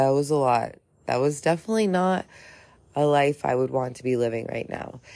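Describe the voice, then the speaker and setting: In a very clean recording with a silent background, a woman speaks at a moderate pace with a very deep, low pitch and a dark, mellow tone. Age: 30s. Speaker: podcaster in recovery from alcohol addiction. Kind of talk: personal monologue, testimony.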